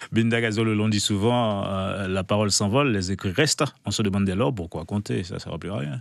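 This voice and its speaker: In an unremarkable speaking voice, a man talks at a fairly quick pace with a fairly low pitch and ordinary pitch variation. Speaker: TV morning show host. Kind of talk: interviewer questions.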